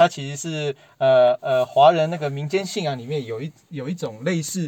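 A man's ordinary speaking voice, fairly high in pitch, at a moderate pace with ordinary pitch variation. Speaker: former tech industry worker and parent. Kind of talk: casual chat.

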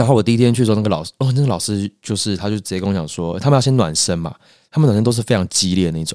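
On a very clean recording with a silent background, a man talks at a very fast pace in a fairly low pitch, his tone dark and mellow with ordinary pitch variation. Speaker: actor and acting coach. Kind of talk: casual chat.

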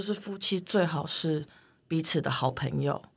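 A woman's dark, mellow, somewhat breathy voice at a fairly slow pace, with very wide pitch swings. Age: 30s. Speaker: writer. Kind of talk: interview conversation.

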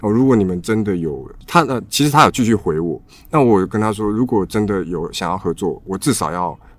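A fairly low-pitched man with lively intonation, in a very clean recording with a silent background. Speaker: coffee bean supplier. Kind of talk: casual chat. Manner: halting.

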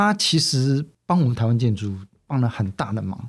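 A man talks with lively intonation at a medium pitch. His voice is somewhat breathy in a very clean recording with a silent background. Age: 60s. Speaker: magazine publisher. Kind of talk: interview. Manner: halting, many fillers.

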